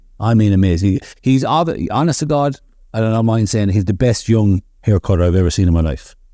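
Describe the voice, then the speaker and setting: A man in a Limerick accent, very fast, fairly low and dark, mellow in tone, with lively intonation, in a very clean recording over a silent background. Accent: Limerick Irish. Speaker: barbershop owner. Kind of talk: casual chat.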